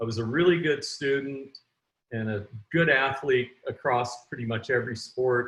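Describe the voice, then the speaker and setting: With a plain, everyday voice, a man speaks at a moderate pace and medium pitch, his intonation fairly even. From Canada. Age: 60s. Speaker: entrepreneur and author. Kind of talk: interview.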